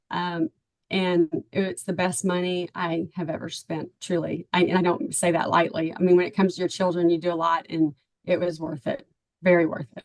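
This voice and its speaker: In a Texan accent, a woman speaks at a moderate pace with a fairly low pitch and monotone, flat intonation. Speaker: parent of a recruited athlete. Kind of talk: testimonial interview.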